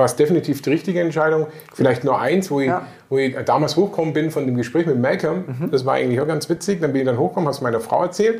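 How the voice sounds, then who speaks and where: A man speaks very fast with lively intonation. His voice is fairly high in pitch, with a dark, mellow tone. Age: 50s. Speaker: interviewee, weight-loss client. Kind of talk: interview. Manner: halting.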